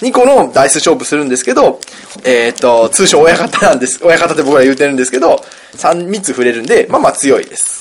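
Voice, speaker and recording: A man speaks at a fairly quick pace with a fairly high pitch, very wide pitch swings and big swings in loudness. Noticeable background noise can be heard. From Kansai, Himeji area (Hyogo). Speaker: podcast co-host, board game designer. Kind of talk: casual chat with board game explanation.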